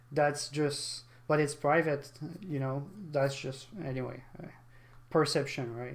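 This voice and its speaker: Fairly slow, monotone, flat speech in a non-native accent, with long, frequent pauses and audible room echo. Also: man, fairly high pitch for a man. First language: not English. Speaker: gaming streamer. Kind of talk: live stream reaction commentary. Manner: halting.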